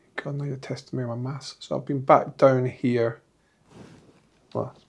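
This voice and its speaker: A man speaks in a Scottish accent at medium pitch. His intonation is monotone and flat, and his voice is somewhat breathy. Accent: Scottish, deliberately kept. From Scotland. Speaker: entrepreneur and football club director. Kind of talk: interview.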